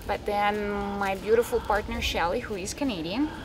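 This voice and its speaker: With music playing in the background, a woman talks in a fairly high pitch with a Russian accent. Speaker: animal rescue founder. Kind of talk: interview.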